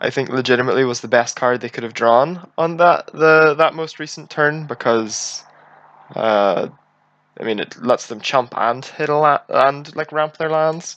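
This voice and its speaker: Talking at a moderate pace with a Northern Irish accent, a man has a fairly high pitch and ordinary pitch variation. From Northern Ireland. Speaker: game streamer. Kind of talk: live gameplay commentary. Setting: live stream.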